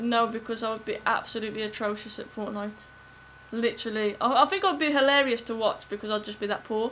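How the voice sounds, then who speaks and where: A woman speaks at a very fast pace in a fairly high pitch with ordinary pitch variation. Noticeable background noise runs underneath. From West Midlands, Wolverhampton. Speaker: gaming streamer. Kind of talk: live gameplay commentary and chat. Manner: animated.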